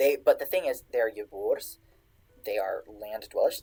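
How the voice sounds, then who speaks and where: At a moderate pace, the speaker talks over music in the background. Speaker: streamer teaching Old English texts. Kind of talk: lecture. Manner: halting.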